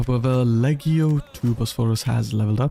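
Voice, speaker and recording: Over music in the background, a man speaks at a moderate pace and medium pitch with fairly even intonation, the sound dry and close with no echo. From India. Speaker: gaming streamer. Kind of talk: live gameplay commentary. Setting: live stream. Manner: casual, conversational.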